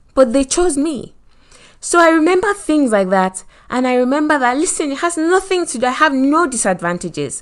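An animated, fairly quick voice in a Nigerian accent with very wide pitch swings. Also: woman, high pitch for a woman. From Nigeria, Lagos. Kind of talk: motivational talk. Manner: animated, laughs often.

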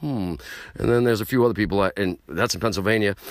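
The voice carries an animated tone. Vocal fry runs through it. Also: man. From New York City (Queens). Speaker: podcast host, hardcore punk musician. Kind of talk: casual monologue. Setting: late night home show.

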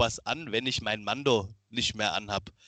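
A man in a plain, everyday voice, at a fairly slow pace with ordinary pitch variation, over a quiet background. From Germany, Lower Franconia (Miltenberg near Aschaffenburg). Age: 30s. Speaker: cosplayer and costume builder. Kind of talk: casual interview chat.

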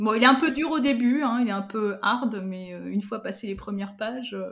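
A somewhat breathy woman's voice, fairly high in pitch, with ordinary pitch variation at a moderate pace. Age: 50s. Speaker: digital learning specialist and podcaster. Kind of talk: interview. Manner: hesitant, many fillers.

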